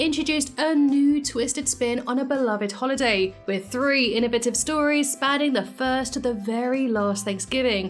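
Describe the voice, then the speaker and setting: A high-pitched woman's voice with fairly even intonation, very even loudness, and hardly any pauses, over noticeable background noise. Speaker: YouTube commentator. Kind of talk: video essay voiceover. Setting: home office. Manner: scripted, clear.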